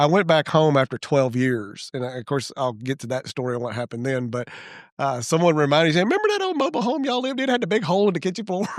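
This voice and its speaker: In a Mississippi accent, a man talks at a very fast pace and fairly high pitch, his voice making very wide pitch swings. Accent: Southern US (Mississippi). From Mississippi, US South. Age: 60s. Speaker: church elder and founding member. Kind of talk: casual chat. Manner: halting, with frequent restarts and fillers.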